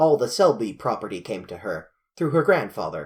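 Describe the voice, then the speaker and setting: A man's rumbling, put-on character voice at a moderate pace on a very clean recording with a silent background. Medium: read story. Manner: blustering, grumbling.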